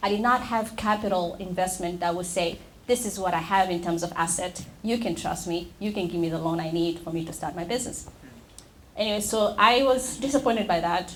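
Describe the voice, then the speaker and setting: Audible room echo carries a woman's medium-pitched voice as she talks at a fairly quick pace with ordinary pitch variation. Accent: East African. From Tanzania. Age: young. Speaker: nonprofit founder and executive director. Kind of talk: panel discussion. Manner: halting.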